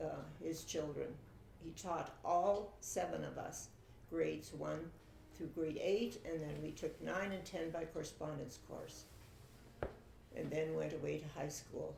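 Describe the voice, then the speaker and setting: A woman with a Canadian prairie accent talks at a fairly slow pace, leaving long, frequent pauses. Audible room echo fills the recording. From Saskatchewan, Canada. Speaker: family interviewee telling her life story. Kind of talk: oral history interview. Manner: hesitant, with fillers.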